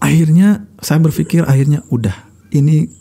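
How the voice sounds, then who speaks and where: Lively intonation lifts a man's dark, mellow, somewhat breathy tone at a fairly slow pace. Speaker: radio broadcaster and speaker; podcast guest. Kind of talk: casual chat. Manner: calm, not fiery. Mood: calm, reflective. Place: studio. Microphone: studio mic.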